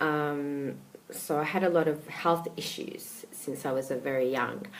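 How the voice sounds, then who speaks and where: A woman with a very deep, low voice speaks at a fairly slow pace with ordinary pitch variation. Noticeable background noise and audible room echo are present. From Australia, Melbourne. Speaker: life coach. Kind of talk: casual talk to camera. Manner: hesitant, many fillers.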